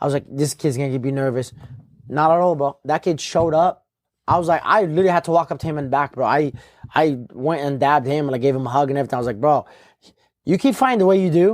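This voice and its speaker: A man's fairly high voice at a very fast pace with ordinary pitch variation. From Morocco, Casablanca. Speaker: MMA fighter. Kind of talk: casual chat. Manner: animated.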